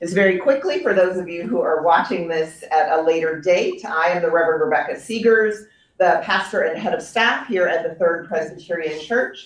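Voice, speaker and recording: With an American accent and a fairly low pitch, a woman talks at a moderate pace with ordinary pitch variation and hardly any pauses, over noticeable background noise. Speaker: pastor. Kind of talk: introduction at a church talk.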